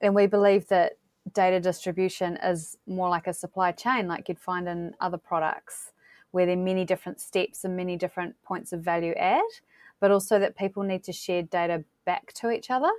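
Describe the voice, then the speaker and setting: A woman's fairly even intonation comes through in a dry, close sound with no echo. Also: medium pitch for a woman. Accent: New Zealand. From New Zealand. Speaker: geospatial data platform representative. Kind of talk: interview.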